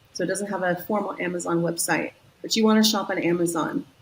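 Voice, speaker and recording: With an American accent, a woman speaks very fast at a medium pitch with ordinary pitch variation, over noticeable background noise. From US West Coast, San Diego, California. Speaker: marketing executive. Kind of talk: interview.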